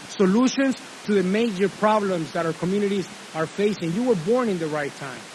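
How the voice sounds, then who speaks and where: Over noticeable background noise, a man with a Spanish accent speaks fast-ish and high-pitched in an animated tone with ordinary pitch variation. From Honduras. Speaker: commencement speaker. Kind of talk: commencement speech.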